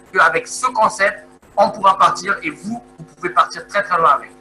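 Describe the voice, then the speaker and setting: Over music in the background, a man uses a raised, projected voice at a moderate pace with ordinary pitch variation. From Congo. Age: 30s. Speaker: network marketing presenter. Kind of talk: sales pitch. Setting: video call. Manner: halting, many hesitations.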